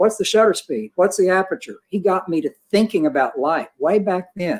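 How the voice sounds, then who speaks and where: A man speaks in a high pitch. His pace is moderate. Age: 60s. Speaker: portrait photographer. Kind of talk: panel discussion.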